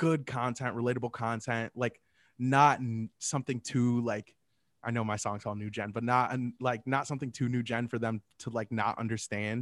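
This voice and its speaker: A man's monotone, flat delivery at a moderate pace, dry and close with no echo, on a very clean recording with a silent background. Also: medium pitch for a man. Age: 20s. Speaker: rapper. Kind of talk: casual interview.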